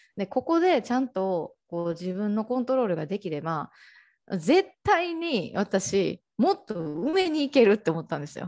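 A woman speaks at a moderate pace and a medium pitch, with very wide pitch swings and big swings in loudness, in a dry, close sound with no echo. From Japan, Ehime. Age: 20s. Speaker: life coach and podcaster. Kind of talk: casual interview. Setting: online call. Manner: hesitant, many fillers.

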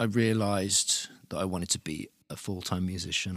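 A man speaks at a moderate pace in a fairly low voice with fairly even intonation. The recording is very clean, with a silent background and a dry, close sound with no echo. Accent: southern English. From Luton, England. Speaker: musician and producer. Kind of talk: casual interview. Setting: studio. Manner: halting, many repetitions.

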